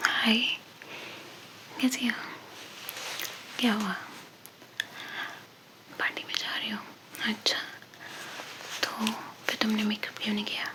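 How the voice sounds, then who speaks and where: A woman's soothing whisper with long, frequent pauses over noticeable background noise. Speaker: ASMR creator. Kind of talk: ASMR roleplay, friendly talk to the listener. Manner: soft-spoken, soothing.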